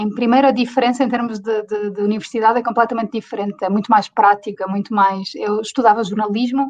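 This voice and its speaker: In a European Portuguese accent, a woman talks very fast in a monotone, flat way, with hardly any pauses. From Portugal. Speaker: interview guest. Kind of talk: interview answer. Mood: cheerful, smiling. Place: home room. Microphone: video call.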